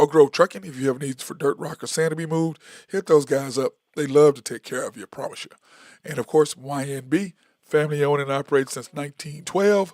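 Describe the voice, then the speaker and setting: A man talks at a very fast pace with a fairly high pitch, ordinary pitch variation and big swings in loudness. The recording is very clean, dry and close, with a silent background and no echo. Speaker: sports podcast host. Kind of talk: sponsor reads on a sports show.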